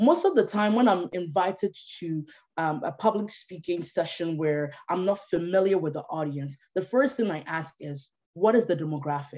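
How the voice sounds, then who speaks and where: A woman's fairly low, dark, mellow voice with lively intonation. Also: moderate pace. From Ghana (Tema). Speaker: policy analyst and speaker. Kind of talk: online talk or webinar presentation.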